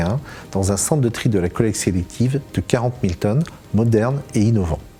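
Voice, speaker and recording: Speaking in a normal speaking voice, a man goes at a fairly quick pace with medium pitch and ordinary pitch variation. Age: 50s. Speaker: waste sorting manager. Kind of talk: corporate testimony.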